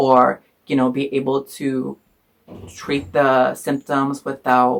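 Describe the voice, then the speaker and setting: Speaking in a Spanish accent, a man holds a medium pitch with monotone, flat intonation. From Iowa, US Midwest. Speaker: student vlogger. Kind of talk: personal storytelling. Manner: casual, many fillers.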